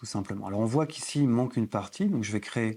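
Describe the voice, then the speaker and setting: The voice belongs to a man and sits at medium pitch. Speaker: photography instructor. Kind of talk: tutorial.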